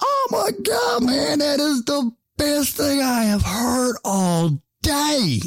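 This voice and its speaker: The man puts on a character voice pitched extremely high. His delivery moves at a very slow pace. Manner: laughing hard and loud.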